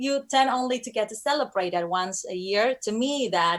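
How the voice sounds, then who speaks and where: Ordinary pitch variation marks a woman's speech, delivered at a moderate pace. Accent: Spanish. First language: Spanish. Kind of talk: interview. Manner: halting.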